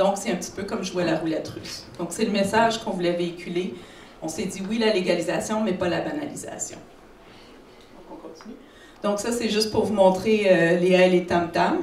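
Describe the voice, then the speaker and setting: Over noticeable background noise and audible room echo, a woman talks at a moderate pace and medium pitch, with ordinary pitch variation, big swings in loudness, and long, frequent pauses. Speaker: psychiatrist. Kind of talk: conference talk.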